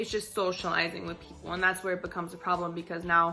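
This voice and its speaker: Music can be heard behind the speaker. She is a woman with a medium-pitched voice. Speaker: vlogger. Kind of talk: casual talk to camera. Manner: fast; stuttering, filler-heavy.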